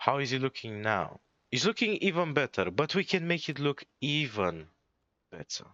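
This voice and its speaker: With a non-native accent and vocal fry, a man talks at a moderate pace, his pitch swinging very widely. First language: not English. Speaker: gaming streamer. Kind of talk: gameplay commentary. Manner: stutters, stumbles over words; casual.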